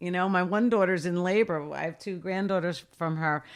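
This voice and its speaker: In a very clean recording with a silent background, a woman speaks at a moderate pace and medium pitch in an ordinary speaking voice. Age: 60s. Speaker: lifeguard supervisor and former reality TV contestant. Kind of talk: interview.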